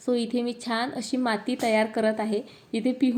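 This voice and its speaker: A woman speaks in a high, dark and mellow voice with flat, monotone intonation. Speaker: family vlogger. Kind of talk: vlog narration. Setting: at home.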